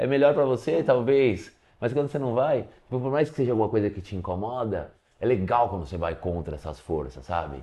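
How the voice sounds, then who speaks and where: Vocal fry runs through this man's medium-pitched voice. He moves at a fairly quick pace with very wide pitch swings. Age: 40s. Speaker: professional skateboarder. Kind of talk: casual interview.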